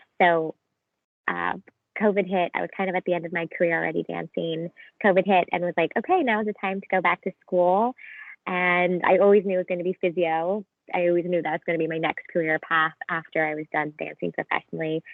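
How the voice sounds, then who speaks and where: With a Canadian accent, a woman talks at a fairly quick pace in an unremarkable speaking voice, her pitch fairly low with ordinary variation. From Canada. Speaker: physiotherapy student, former professional dancer. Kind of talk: casual chat. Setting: video call.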